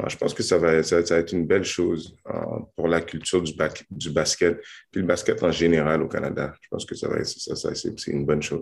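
The pace is moderate. Loudness swings widely throughout. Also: man. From Montreal, Quebec. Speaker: professional basketball player. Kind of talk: interview.

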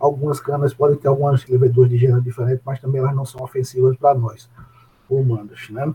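A man with a dark, mellow, somewhat breathy tone speaks very fast at a medium pitch in a monotone, flat delivery. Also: dry, close sound with no echo. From Brazil, Paraíba (Areia). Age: 40s. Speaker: food science professor. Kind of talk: interview. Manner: halting, many fillers.

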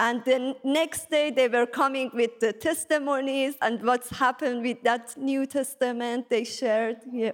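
This woman's voice is high-pitched, with fairly even intonation and very even loudness. She goes at a fairly slow pace with hardly any pauses. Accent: Persian. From Iran. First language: Persian. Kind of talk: testimony. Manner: halting.

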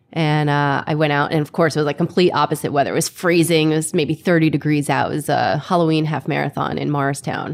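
With vocal fry and a very deep, low pitch, a woman talks flatly in a monotone at a very fast pace. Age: 30s. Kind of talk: casual interview chat.

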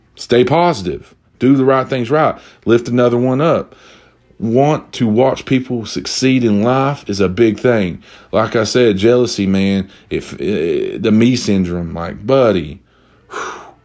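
The speaker has an American accent. The pace is fairly slow, and the pitch varies in an ordinary way. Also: man, medium pitch for a man. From Eastern Kentucky. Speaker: podcast host. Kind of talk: casual solo chat. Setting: drinking while recording. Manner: animated.

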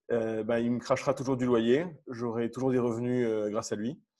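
Over a quiet background, a man of medium pitch speaks at a moderate pace. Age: 30s. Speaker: airline pilot and property investor. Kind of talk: podcast interview.

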